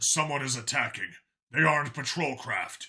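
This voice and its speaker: A man puts on a character voice that is raspy and fairly high-pitched, with fairly even intonation and a moderate pace. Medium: read story.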